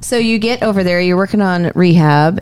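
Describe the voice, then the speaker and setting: A woman has an ordinary speaking voice with a fairly low pitch. She talks at a fairly quick pace with ordinary pitch variation. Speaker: mortgage lender, co-host. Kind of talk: casual podcast conversation.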